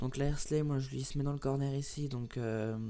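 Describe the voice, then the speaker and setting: With a medium pitch, the man's voice carries a dark, mellow tone. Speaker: gaming YouTuber. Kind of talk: gameplay tutorial commentary. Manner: fast; halting, many fillers.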